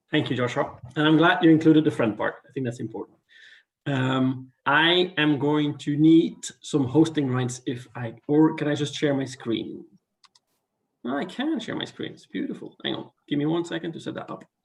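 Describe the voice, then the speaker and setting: A man with a non-native accent speaks at a fairly high pitch and moderate pace, with ordinary pitch variation and big swings in loudness. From Belgium. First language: not English. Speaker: international scouting committee member. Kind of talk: presentation on video call. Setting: video call.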